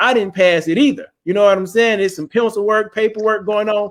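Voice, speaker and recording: This is a man speaking with an American accent. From Detroit, Michigan. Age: 40s. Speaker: army veteran, online show host. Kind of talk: casual monologue to live audience. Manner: informal, profane.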